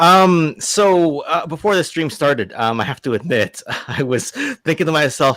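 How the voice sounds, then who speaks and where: Heard dry and close with no echo, a man's voice makes very wide pitch swings. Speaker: toy collector, channel host. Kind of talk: casual chat. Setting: live stream. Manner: halting, many fillers.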